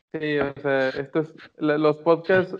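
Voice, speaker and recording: In a Mexican accent, a man talks with a fairly high pitch and monotone, flat intonation. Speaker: podcast co-host. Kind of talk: casual chat. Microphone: connection freezing.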